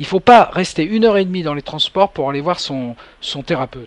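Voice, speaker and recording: A man talks with lively intonation and a high pitch. The recording is dry and close, with no echo. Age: 60s. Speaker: hypnotherapist radio host. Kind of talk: radio call-in show. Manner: hesitant, many fillers.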